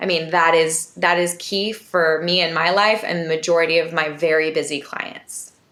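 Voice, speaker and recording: At a moderate pace, a woman speaks with hardly any pauses in a fairly low voice. Her intonation is monotone and flat, and background noise is noticeable. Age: 40s. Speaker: nutritionist. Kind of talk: interview podcast.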